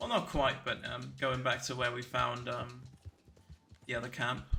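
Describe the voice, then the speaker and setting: Audible room echo surrounds a man as he speaks. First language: German. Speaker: speedrunner streamer. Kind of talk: live commentary. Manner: halting.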